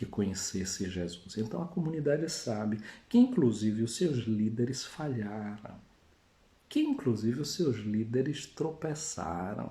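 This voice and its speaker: Audible room echo around a man's somewhat breathy, dark and mellow voice, medium pitch, fairly slow pace, lively intonation. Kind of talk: sermon. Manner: conversational.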